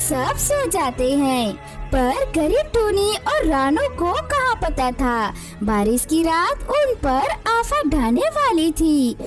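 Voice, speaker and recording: A cartoonish character voice at an extremely high pitch speaks very slowly. Loud music plays in the background. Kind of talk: moral story narration. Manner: sympathetic, dramatic.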